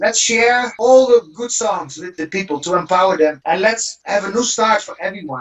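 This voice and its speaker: A man with a Dutch accent, high-pitched and fairly quick, with lively intonation over music in the background. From Netherlands. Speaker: stuntman and martial arts actor. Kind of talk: interview. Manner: animated.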